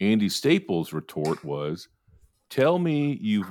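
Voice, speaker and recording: This recording is very clean, and its background is silent. The man in it has an American accent. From Texas. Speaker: podcast host. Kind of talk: casual chat. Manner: animated.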